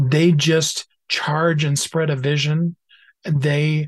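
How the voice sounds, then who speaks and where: Very slow and somewhat breathy, a man speaks with a fairly high pitch. His intonation is monotone and flat. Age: 50s. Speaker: author and minister. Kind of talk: interview.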